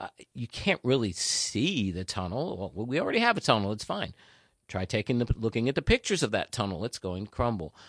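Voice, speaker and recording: Speaking at a fairly quick pace with lively intonation, a man has a medium pitch and a New Jersey accent. The sound is dry and close with no echo, against a quiet background. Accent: New Jersey American. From New Jersey (North Jersey). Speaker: local politician. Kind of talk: interview.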